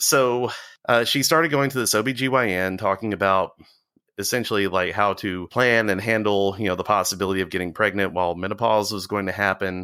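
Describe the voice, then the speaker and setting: Speaking with an Alabama accent, a man uses a fairly low pitch, a bright, sharp tone and ordinary pitch variation at a fairly quick pace, in a very clean recording with a silent background. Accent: Southern US (Alabama). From US South, Walker County, Alabama. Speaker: cult survivor. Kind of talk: interview testimony.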